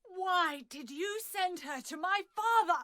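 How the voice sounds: In a put-on character voice, a woman speaks at an extremely high pitch and a fairly slow pace, with a bright, sharp tone and lively intonation.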